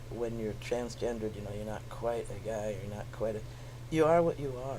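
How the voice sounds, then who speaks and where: A man with a dark, mellow tone and vocal fry speaks at a moderate pace with ordinary pitch variation, with audible room echo. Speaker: activist and musician. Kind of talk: interview.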